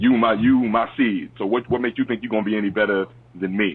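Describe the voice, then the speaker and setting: With a New York accent and an animated tone, a man talks at a very fast pace with ordinary pitch variation. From Long Island, New York. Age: 30s. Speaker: historian and youth advocate. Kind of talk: interview.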